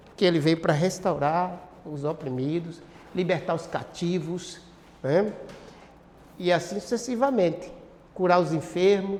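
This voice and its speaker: Speaking at a fairly slow pace with long, frequent pauses, a man uses a high pitch and ordinary pitch variation against noticeable background noise. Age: 60s. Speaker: pastor. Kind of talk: bible class teaching. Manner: halting, frequent self-corrections; interactive, question-and-answer with audience.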